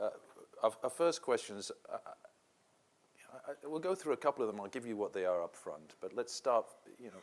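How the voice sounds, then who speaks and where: Speaking at a fairly quick pace, a man leaves long, frequent pauses and swings widely in loudness. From England. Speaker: panel moderator. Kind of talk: panel discussion.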